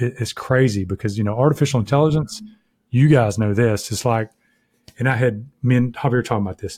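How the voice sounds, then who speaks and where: In a very clean recording with a silent background and a dry, close sound with no echo, a man with a normal speaking voice talks at medium pitch and a fairly quick pace. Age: 50s. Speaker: software company CEO. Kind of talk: casual chat.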